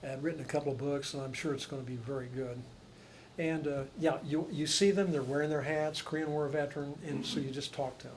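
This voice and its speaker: Audible room echo surrounds a man talking at a fairly quick pace with fairly high pitch and fairly even intonation. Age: 70s. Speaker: Vietnam war veteran, panelist. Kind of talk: panel discussion.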